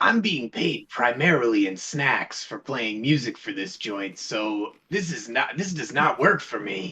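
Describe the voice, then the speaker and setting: A man's put-on character voice at medium pitch, with very wide pitch swings, a fairly slow pace and hardly any pauses. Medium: actual play. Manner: rambling, casual.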